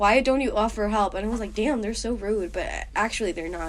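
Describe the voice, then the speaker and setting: Audible room echo surrounds a woman as she speaks. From Colombia, Bogotá. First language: Spanish. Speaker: university student. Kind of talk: interview. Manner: animated.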